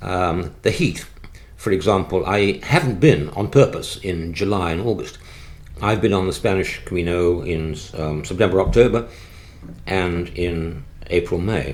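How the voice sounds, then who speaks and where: With audible room echo, a man speaks at a fairly slow pace in a very deep, low pitch with ordinary pitch variation. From England (born London, moved out after the Blitz). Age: 70s. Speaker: retired neurologist and pilgrim walker. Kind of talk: interview about travel experiences. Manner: halting, many fillers and restarts.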